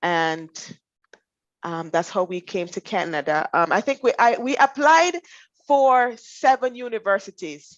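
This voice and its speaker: This woman speaks with a Jamaican accent at a fairly slow pace and fairly high pitch, her pitch swinging very widely. The sound is dry and close, with no echo. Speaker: finance professional. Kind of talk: interview.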